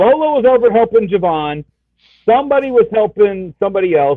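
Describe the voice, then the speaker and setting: A man talks loudly with lively intonation and at a fairly quick pace. Music plays in the background. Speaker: comic book show panelist. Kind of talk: casual chat.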